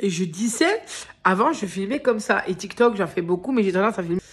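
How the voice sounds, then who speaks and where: This woman's voice sits at a medium pitch. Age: 30s. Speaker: vlogger. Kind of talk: casual vlog. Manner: hesitant, filler-heavy.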